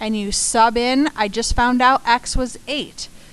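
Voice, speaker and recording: A woman speaks at a fairly slow pace. She has a plain, everyday voice with ordinary pitch variation. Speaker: math teacher. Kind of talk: tutorial.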